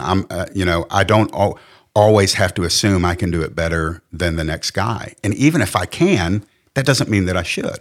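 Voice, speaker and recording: Heard on a very clean recording with a silent background, a man has a normal speaking voice and a fairly low pitch. He goes at a moderate pace with ordinary pitch variation. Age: 50s. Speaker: pastor and recovering addict. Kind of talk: testimony in interview. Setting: studio.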